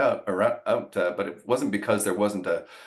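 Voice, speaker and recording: A man talks with a Canadian accent. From Canada, Ottawa. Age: 60s. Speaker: business executive. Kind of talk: interview.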